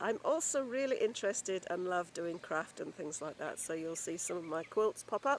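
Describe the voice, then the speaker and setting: Amid noticeable background noise, a woman speaks at a fairly quick pace with very wide pitch swings. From England. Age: 60s. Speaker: homesteading and gardening vlogger. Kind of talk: casual channel introduction to camera.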